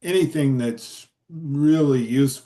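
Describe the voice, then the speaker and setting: Here is a man with a fairly high pitch. His tone is dark and mellow. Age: 70s. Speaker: retired forester and timber tax consultant. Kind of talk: Q&A after a workshop. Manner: halting, many fillers.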